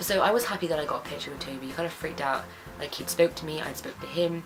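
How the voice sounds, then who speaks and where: A woman with an English accent talks very fast with ordinary pitch variation. Music plays in the background, and room echo is audible. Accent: English accent, remarked on by fan. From England. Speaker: beauty and lifestyle vlogger. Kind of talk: casual monthly favourites vlog, storytelling. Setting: sitting on her bed. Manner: animated, chatty.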